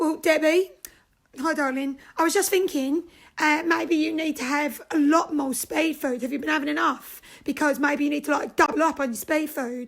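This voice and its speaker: A woman puts on a raspy character voice, high in pitch. She keeps a moderate pace and fairly even intonation. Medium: comedy sketch. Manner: hesitant, eager.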